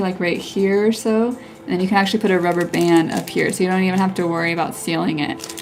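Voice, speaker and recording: Through noticeable background noise, a woman talks fairly quickly at medium pitch with ordinary pitch variation. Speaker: henna artist. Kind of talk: live stream tutorial while chatting with viewers. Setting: live stream. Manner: casual, chatty with filler words.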